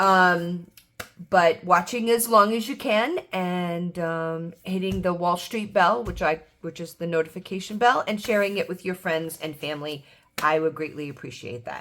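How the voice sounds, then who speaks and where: In a very clean recording with a silent background, a woman with an American accent speaks at a moderate pace, her fairly low pitch showing ordinary variation while her loudness swings widely. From New York. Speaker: baker and budgeting vlogger. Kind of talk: casual vlog chat. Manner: hesitant, many fillers.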